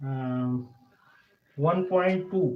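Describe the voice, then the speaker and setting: Audible room echo surrounds a man with an Indian accent who speaks with ordinary pitch variation. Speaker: chemistry teacher. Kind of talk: lecture. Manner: halting.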